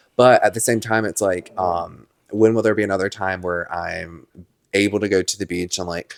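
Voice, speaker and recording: A man's fairly low voice, flat and monotone, on a very clean recording with a silent background. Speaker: podcast co-host. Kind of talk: casual chat. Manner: fast.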